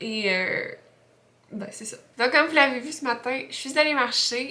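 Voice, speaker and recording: In a Quebec accent, a woman speaks with a high pitch at a fairly slow pace. Audible room echo surrounds her voice. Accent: Québécois French. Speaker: freelance graphic designer vlogger. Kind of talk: casual vlog talk. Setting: at home. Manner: hesitant, many fillers.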